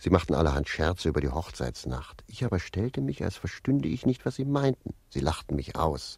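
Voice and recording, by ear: A man puts on a character voice with a low pitch and big pitch swings, a slightly husky edge, vocal fry and a slightly mellow tone, speaking at a moderate pace.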